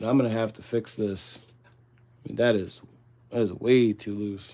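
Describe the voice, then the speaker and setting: The voice has a dark, mellow tone and a monotone, flat intonation. It moves at a moderate pace with big swings in loudness. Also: man, fairly low pitch for a man. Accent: Midwestern US. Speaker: livestream host doing ammunition reloading. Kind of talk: casual live stream chat while working.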